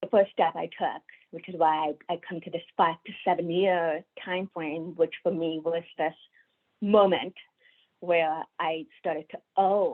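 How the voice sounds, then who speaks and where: Fairly even in intonation, the speaking goes along at a fairly slow pace. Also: woman. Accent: American. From India. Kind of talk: webinar talk. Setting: video call.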